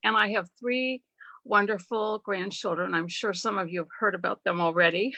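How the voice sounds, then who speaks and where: With an American accent and ordinary pitch variation, the voice has a bright, sharp tone and a dry, close sound with no echo. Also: woman. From US Midwest, Chicago area. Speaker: retired educator, decluttering coach. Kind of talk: interview self-introduction.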